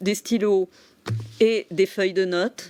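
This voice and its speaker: A woman talks with ordinary pitch variation. The recording is very clean, with a silent background. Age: 60s. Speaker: psychotherapist and entrepreneur. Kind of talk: TV interview. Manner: hesitant, many fillers.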